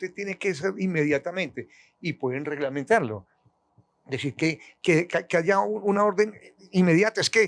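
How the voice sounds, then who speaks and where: A man speaks with a high pitch and lively intonation, pausing long and often. The sound is dry and close, with no echo. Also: moderate pace. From Colombia. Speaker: retired football referee. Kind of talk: interview answer.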